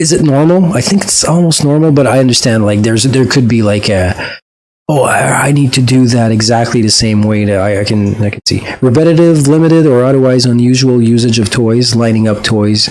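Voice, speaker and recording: A man talks at a fairly quick pace with hardly any pauses, his pitch medium with ordinary variation. Audible room echo surrounds his voice. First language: French. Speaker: YouTube reaction creator and musician. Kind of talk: video reaction commentary. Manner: hesitant, many fillers and restarts.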